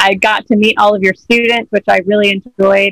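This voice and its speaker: A woman with an unremarkable speaking voice and an American accent talks fairly quickly at a medium pitch, her intonation fairly even, in a dry, close sound with no echo. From USA. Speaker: traveler sharing language tips. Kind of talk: casual interview.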